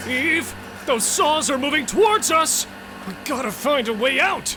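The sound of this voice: A man speaks in a put-on character voice over clear background noise. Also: moderate pace.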